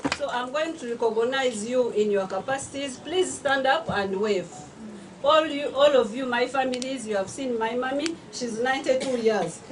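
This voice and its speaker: High-pitched woman's voice at a moderate pace with ordinary pitch variation, audible room echo and noticeable background noise. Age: 60s. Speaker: author. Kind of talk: speech at a book launch. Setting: event hall with audience, microphone.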